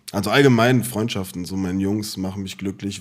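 With a fairly low pitch and fairly even intonation, a man speaks at a moderate pace. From Germany, Offenbach (Hesse). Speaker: podcast co-host. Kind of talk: casual chat. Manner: laughing, giggly.

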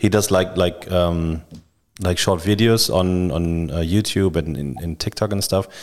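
On a very clean recording with a silent background, a man with a German accent and a very deep, low pitch speaks at a fairly slow pace. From Düsseldorf, Germany. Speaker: podcast host. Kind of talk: casual chat.

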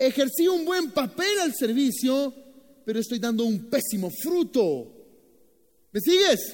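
With an extremely high pitch and very wide pitch swings, a man speaks at a fairly slow pace with long, frequent pauses. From Nicaragua. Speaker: pastor. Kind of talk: sermon.

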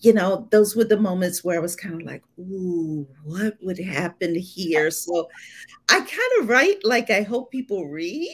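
A woman with a normal speaking voice, an American accent and ordinary pitch variation. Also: medium pitch for a woman, fairly slow pace, big swings in loudness. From Ohio, US Midwest. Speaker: debut thriller author. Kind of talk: live interview. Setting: video call from Atlanta.

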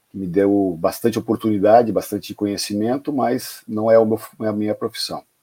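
In a very clean recording with a silent background and a dry, close sound with no echo, a man speaks at a fairly quick pace with a fairly low pitch, a dark, mellow tone and fairly even intonation. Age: 50s. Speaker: football club presidential candidate. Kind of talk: interview.

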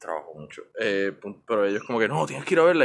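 At a fairly quick pace, a man with an unremarkable speaking voice talks at a fairly low pitch with lively intonation. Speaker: podcast guest, comic fan. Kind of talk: casual chat. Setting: outdoors in abandoned treehouse.

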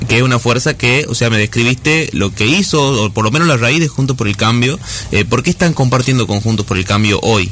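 Fairly quick speech from a man at medium pitch, very wide pitch swings and noticeable background noise. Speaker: radio host. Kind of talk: radio interview.

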